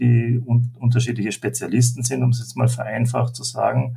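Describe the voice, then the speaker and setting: A man with an Austrian accent speaks at medium pitch and a moderate pace. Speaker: leadership coach. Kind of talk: interview. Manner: halting.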